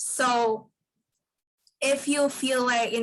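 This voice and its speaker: A woman's high voice in a Vietnamese accent, with ordinary pitch variation. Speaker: student peer leader. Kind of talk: workshop sharing.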